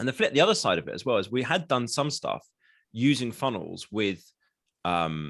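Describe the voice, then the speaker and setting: A man with an English accent speaks at a medium pitch and a moderate pace. His pitch swings very widely, with vocal fry. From England. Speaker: marketing consultant. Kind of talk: podcast interview. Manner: casual.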